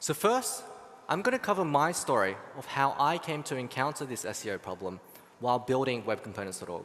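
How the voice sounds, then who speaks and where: With an Australian accent, a man speaks at a fairly quick pace in a medium pitch, his voice making very wide pitch swings. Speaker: software engineer. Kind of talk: conference talk.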